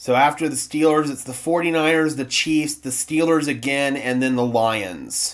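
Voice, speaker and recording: A man with an American accent has an ordinary speaking voice with a fairly high pitch and ordinary pitch variation. He talks at a moderate pace with hardly any pauses, on a very clean recording with a silent background. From US Southwest (southwestern New Mexico). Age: 20s. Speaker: sports streamer, football fan channel host. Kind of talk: live stream reaction and chat. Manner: casual, conversational.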